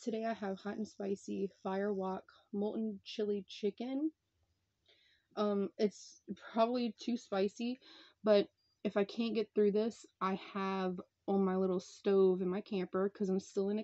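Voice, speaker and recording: A woman with a dark, mellow tone speaks at a fairly slow pace and with fairly even intonation, over a quiet background. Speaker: food vlogger. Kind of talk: casual vlog chat. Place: home room. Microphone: phone near.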